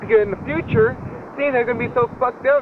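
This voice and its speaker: A man talks very fast, with noticeable background noise present behind him. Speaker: public access TV show host. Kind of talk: casual monologue to camera. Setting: outdoors at a shopping complex. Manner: halting, many fillers and repeats.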